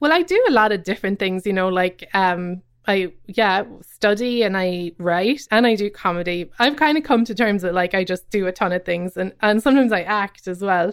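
In a Cork accent, a woman speaks at medium pitch and a moderate pace with ordinary pitch variation, on a very clean recording with a silent background. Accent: Irish, Cork. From Ireland, Cobh, County Cork. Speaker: comedian and writer. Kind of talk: casual interview.

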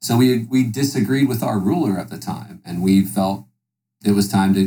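A man with an American accent speaks at a moderate pace in a fairly low pitch, his dark, mellow tone marked by vocal fry and lively intonation. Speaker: podcast guest. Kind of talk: political debate.

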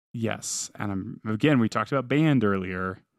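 On a very clean recording with a silent background, a man at medium pitch speaks at a moderate pace with ordinary pitch variation. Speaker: podcast co-host, parent. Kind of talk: casual chat. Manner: loud.

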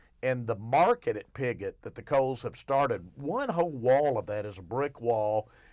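A man with an Arkansas accent speaks at a moderate pace in a medium pitch, his intonation lively and his delivery almost free of pauses, on a very clean recording with a silent background. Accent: Southern US (Arkansas). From Arkansas, Arkadelphia. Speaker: newspaper columnist and radio co-host. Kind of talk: casual chat. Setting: radio studio.

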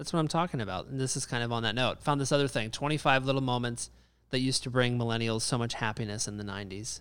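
Over a silent background in a very clean recording, a man talks at a very fast pace, at medium pitch with ordinary variation. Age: 20s. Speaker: podcast co-host. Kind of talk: casual chat.

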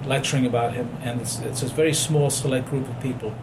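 A man speaks at a fairly quick pace in a medium pitch with monotone, flat intonation, over noticeable background noise and audible room echo. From abroad, unnamed home country. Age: 60s. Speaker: physician. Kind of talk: interview.

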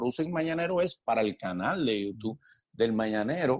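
A man speaks at a moderate pace in an ordinary speaking voice. His pitch varies in an ordinary way. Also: dry, close sound with no echo. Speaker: actor and comedian. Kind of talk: casual interview.

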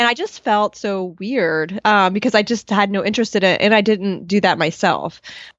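An unremarkable speaking voice moves at a moderate pace with ordinary pitch variation. There are hardly any pauses. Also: woman, medium pitch for a woman. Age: 40s. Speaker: dietitian. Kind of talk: interview. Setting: video call.

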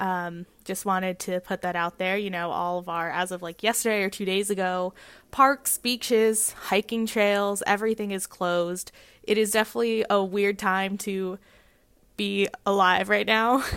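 In a very clean recording with a silent background, a woman with an unremarkable speaking voice and an American accent talks at a moderate pace and medium pitch with fairly even intonation. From California. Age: 20s. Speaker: radio host. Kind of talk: casual chat.

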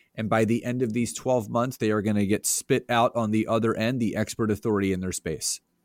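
A man with an American accent talks in a normal speaking voice at a medium pitch with ordinary pitch variation, the sound dry and close with no echo in a very clean recording with a silent background. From Philadelphia area, Pennsylvania. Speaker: business coach and entrepreneur. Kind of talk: interview.

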